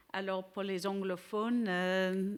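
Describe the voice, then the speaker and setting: In a very clean recording with a silent background, a woman with an English accent speaks at a very slow pace, her medium pitch held in fairly even intonation. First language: English (speaking French). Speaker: law and philosophy professor. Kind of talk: conference lecture. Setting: conference with audience. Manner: halting non-native French.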